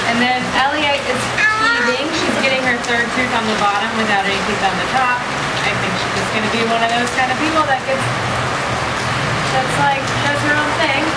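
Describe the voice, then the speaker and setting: Loud background noise runs under a woman speaking at a moderate pace. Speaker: parent travel vlogger. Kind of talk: casual vlog chat. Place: home room. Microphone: camera far.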